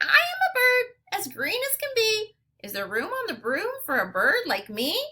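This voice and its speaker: A woman puts on a squeaky character voice at an extremely high pitch. She keeps a moderate pace. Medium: read story.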